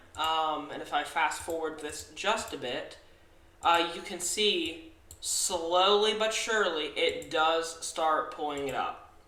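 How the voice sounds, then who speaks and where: A man speaks very slowly in a high voice. The room echoes audibly, and background noise is noticeable. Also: ordinary pitch variation. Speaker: amateur weather forecaster. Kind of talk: weather forecast video. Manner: halting, many fillers.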